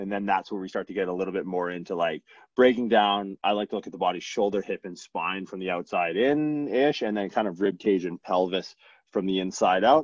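A man talks in a normal speaking voice at a fairly low pitch. His pace is fairly quick, with ordinary pitch variation. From Newfoundland, Canada. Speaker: chiropractor and strength coach. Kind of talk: casual chat.

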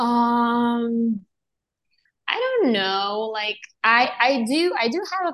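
A woman's fairly high-pitched voice with a Serbian accent. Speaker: actress. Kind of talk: interview.

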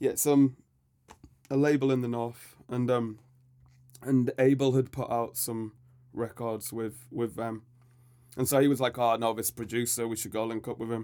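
In a Yorkshire accent, a man with a dark, mellow tone at medium pitch speaks monotone and flat at a moderate pace, with long, frequent pauses. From Leeds, northern England. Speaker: hip-hop MC. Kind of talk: casual interview chat. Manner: laid-back, hesitant with fillers.

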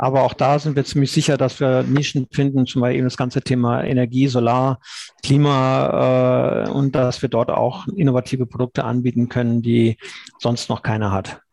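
A plain, everyday voice from a man at medium pitch, moderate pace, fairly even intonation and very even loudness. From Cologne area, western Germany. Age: 50s. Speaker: blockchain insurance founder. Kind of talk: podcast interview.

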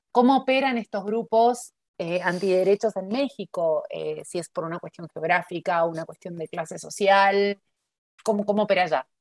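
A woman talks in a plain, everyday voice at a medium pitch and moderate pace, with ordinary pitch variation. Her loudness swings widely, and the sound is dry and close with no echo. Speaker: podcast host, academic observatory coordinator. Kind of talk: interview.

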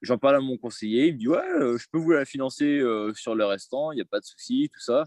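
With big swings in loudness, a man speaks at a moderate pace in a dry, close sound with no echo. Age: 20s. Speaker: aspiring property investor, salesman. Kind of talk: interview. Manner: hesitant.

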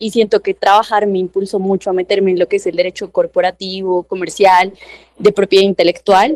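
Here is a woman with a normal speaking voice at a medium pitch. She moves at a fairly quick pace in a dry, close sound with no echo. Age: 20s. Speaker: lawyer. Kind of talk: interview.

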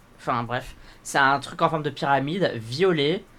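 Music plays in the background as a man talks at a very slow pace. His pitch is fairly high, with ordinary variation. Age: young. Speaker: podcast co-host, drag performer. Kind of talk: casual chat.

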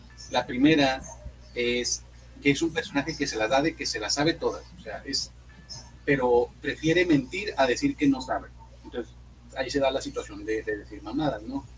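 Music plays in the background behind a man. He speaks with long, frequent pauses. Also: moderate pace. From Monterrey, northern Mexico. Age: 20s. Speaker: comedian. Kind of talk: casual chat.

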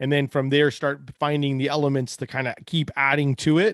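At a moderate pace, a man with a fairly high pitch and an ordinary speaking voice comes through with a dry, close sound, no echo and a quiet background. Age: 40s. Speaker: podcast host. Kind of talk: casual interview chat.

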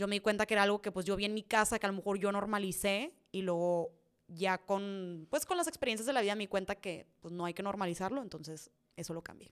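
At a very fast pace, a woman with a medium pitch talks in an animated tone with ordinary pitch variation. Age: 20s. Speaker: content creator. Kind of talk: casual Q&A monologue.

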